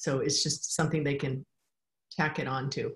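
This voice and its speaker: A woman's somewhat breathy, very deep, low-pitched voice at a fairly slow pace. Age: 60s. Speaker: beekeeper and author. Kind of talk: interview.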